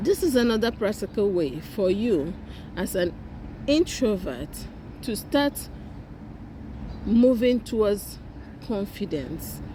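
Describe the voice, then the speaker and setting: Speaking at a very slow pace with long, frequent pauses, a woman with a non-native accent uses a medium pitch and a dark, mellow tone, showing vocal fry and very wide pitch swings. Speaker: YouTuber, self-help speaker. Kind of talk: motivational talk to camera. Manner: halting, with repetitions and self-corrections.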